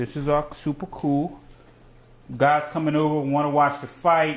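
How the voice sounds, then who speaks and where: At a moderate pace, a man talks in an unremarkable speaking voice with a fairly high pitch. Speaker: cooking show host. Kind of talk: cooking tutorial. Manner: casual, rambling with fillers.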